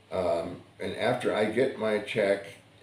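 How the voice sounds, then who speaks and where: A man with an American accent speaks over audible room echo. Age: 70s. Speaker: vlogger. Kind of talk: casual monologue. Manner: halting, many fillers and repeats.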